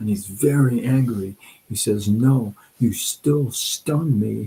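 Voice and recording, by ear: Pitch varies in an ordinary way here. Someone reads aloud in a natural voice.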